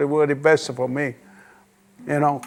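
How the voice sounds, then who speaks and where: There is noticeable background noise as a man speaks with a Sicilian accent. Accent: Italian (Sicilian) accent in English. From Sicily, Italy. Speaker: immigrant grandfather, retired barber. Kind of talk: oral history interview. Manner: halting, with many fillers.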